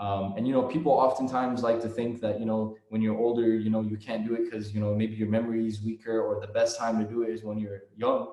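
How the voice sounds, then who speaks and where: Speaking very fast with hardly any pauses, a man with an American accent keeps a monotone, flat delivery at medium pitch, his tone dark and mellow. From United States. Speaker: Quran reciter. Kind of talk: interview answer. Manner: casual, conversational.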